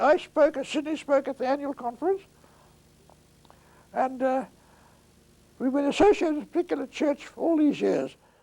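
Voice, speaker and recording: An extremely high-pitched male voice with a dark, mellow tone, moderate pace, and long, frequent pauses. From South Africa, Port Elizabeth. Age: 80s+. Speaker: retired attorney. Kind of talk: oral history interview. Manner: halting.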